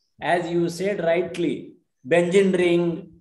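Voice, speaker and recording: Over a quiet background with audible room echo, a man talks at a high pitch. His pace is fairly slow and his intonation flat and monotone. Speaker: audience member. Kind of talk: discussion comment. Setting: video call. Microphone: video call.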